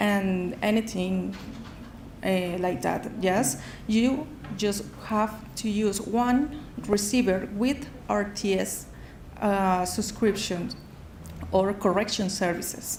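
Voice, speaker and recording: Speaking in a Spanish accent, a woman talks at a very slow pace with long, frequent pauses and ordinary pitch variation. Noticeable background noise and audible room echo surround her voice. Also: medium pitch for a woman, very even loudness. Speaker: sponsor company representative. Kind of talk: sales pitch. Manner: halting.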